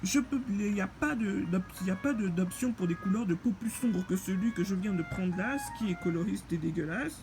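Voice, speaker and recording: With music in the background, a woman speaks at a moderate pace and medium pitch with lively intonation. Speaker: game reviewer. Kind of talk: casual gameplay commentary. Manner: halting.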